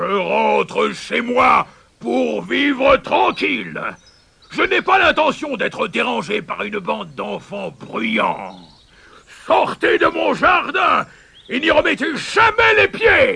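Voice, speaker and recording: A man speaks at a fairly slow pace. He uses a put-on character voice. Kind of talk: gruff, commanding. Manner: growling, angry.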